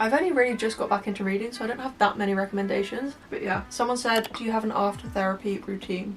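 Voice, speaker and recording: Very fast, nearly pause-free delivery in a Southern English accent, with ordinary pitch variation and noticeable background noise. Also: woman, fairly high pitch for a woman. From Hampshire, England. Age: 20s. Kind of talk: casual talk to camera.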